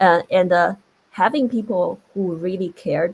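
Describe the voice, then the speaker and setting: At a moderate pace, a woman with a non-native accent speaks in a somewhat breathy voice, with fairly low pitch and lively intonation. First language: not English. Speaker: tech industry panelist. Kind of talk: panel discussion.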